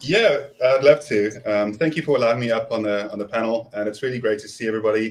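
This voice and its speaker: Talking very fast with hardly any pauses, a man with a South African accent shows ordinary pitch variation and big swings in loudness. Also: medium pitch for a man. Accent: South African, noticeable. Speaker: prepper and scout volunteer. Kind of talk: casual panel chat. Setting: live stream video call.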